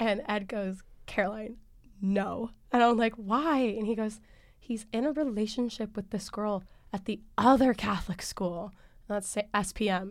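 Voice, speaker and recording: A woman with a plain, everyday voice speaks at a fairly high pitch and a moderate pace with fairly even intonation, on a very clean recording with a silent background. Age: young. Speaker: student storyteller. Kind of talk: interview storytelling.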